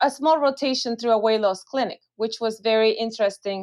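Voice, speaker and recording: A woman speaks with a Spanish accent and a fairly high pitch against a quiet background. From Venezuela. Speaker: physician, weight loss clinic director. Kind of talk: interview. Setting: podcast.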